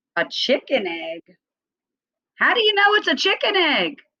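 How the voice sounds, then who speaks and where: At a moderate pace, a woman performs a put-on character voice at an extremely high pitch. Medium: read story. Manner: excited, wondering.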